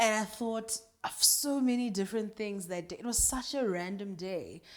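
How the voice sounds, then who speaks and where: A woman with a fairly high pitch and ordinary variation in it talks while noticeable background noise carries on. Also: moderate pace. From South Africa, Kimberley. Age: 20s. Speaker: radio presenter. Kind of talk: casual interview chat.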